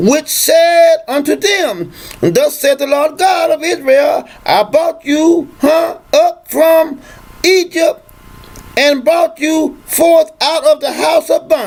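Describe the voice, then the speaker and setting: Against noticeable background noise, a man talks at a very slow pace with an extremely high pitch. His loudness stays very even, with ordinary pitch variation. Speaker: religious teacher. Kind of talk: scripture reading.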